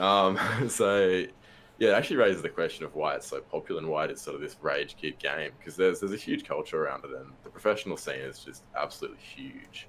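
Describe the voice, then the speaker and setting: A man with an Australian accent talks at a very fast pace, his loudness swinging widely. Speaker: podcast guest, gamer. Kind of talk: casual chat.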